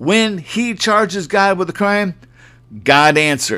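An animated, bright and sharp tone with lively intonation. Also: man. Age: 60s. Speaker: podcast preacher. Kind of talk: sermon.

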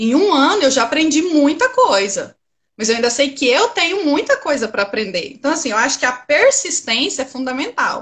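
High pitch from a woman, marked by very wide pitch swings. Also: moderate pace. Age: 30s. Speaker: trader, former systems analyst. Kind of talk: interview.

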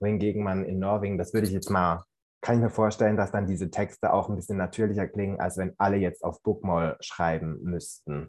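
A man has an unremarkable speaking voice with a fairly low pitch and fairly even intonation, at a fairly quick pace. The background is quiet. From Central Switzerland. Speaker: university student. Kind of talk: casual discussion.

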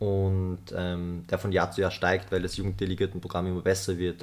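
A man speaks at a fairly quick pace in a very deep, low voice, his intonation monotone and flat. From Austria, Vorarlberg. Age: 20s. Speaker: UN youth delegate and climate activist. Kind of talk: podcast interview. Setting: studio, face to face. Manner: hesitant, many filler sounds.

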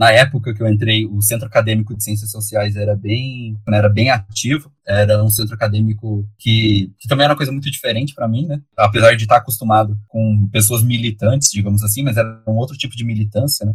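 Fairly even intonation marks this man's medium-pitched, somewhat breathy voice. He speaks at a fairly quick pace. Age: 20s. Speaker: public school sociology teacher. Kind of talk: interview. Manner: long-winded.

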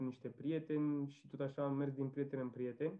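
Speaking at a moderate pace, a man uses a fairly high pitch and a monotone, flat intonation. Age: 20s. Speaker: software developer, renter. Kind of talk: casual interview.

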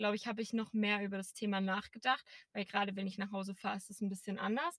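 A woman talks at a fairly quick pace. Her sound is dry and close, with no echo. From Erzgebirge, Saxony, Germany. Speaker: podcast co-host. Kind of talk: casual chat. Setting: in a car.

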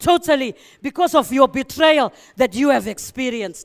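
The speaker has a Zimbabwean accent and a moderate pace. The recording is very clean, with a silent background. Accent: Zimbabwean (Shona) English. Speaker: preacher. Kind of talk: sermon.

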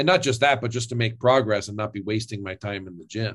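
A man talks at a moderate pace in a fairly low pitch with ordinary pitch variation. He has an ordinary speaking voice. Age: 30s. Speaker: fitness influencer and former lawyer. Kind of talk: interview. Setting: remote call.

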